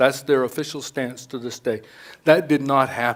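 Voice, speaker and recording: Here a man speaks at medium pitch. His intonation is monotone and flat. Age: 70s. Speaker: retired air crash investigator and author. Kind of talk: talk at a public speaker event. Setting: stage with live audience.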